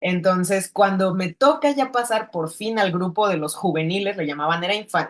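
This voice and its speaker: This woman has a medium pitch and lively intonation, moving at a fairly quick pace. Hers is an unremarkable speaking voice. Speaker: filmmaker. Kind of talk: interview.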